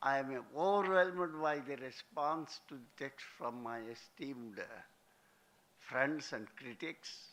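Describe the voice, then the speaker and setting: Speaking at a very slow pace, a man uses a fairly high voice with ordinary pitch variation. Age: 80s+. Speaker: author. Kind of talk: speech at book launch.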